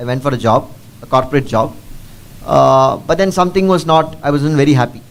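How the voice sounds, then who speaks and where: This man speaks with a Keralan accent and a fairly high pitch. His pace is very fast, with ordinary pitch variation. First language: Malayalam. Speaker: district collector, civil servant. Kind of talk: Q&A session with school students. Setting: school assembly with student audience. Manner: code-switching English and Tamil; halting, many fillers.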